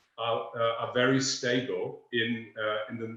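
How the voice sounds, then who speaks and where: A man with a German accent, ordinary pitch variation and audible echo in the room. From northern Germany, near Danish border. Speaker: energy researcher. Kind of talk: webinar presentation. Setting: online webinar. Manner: halting, many fillers.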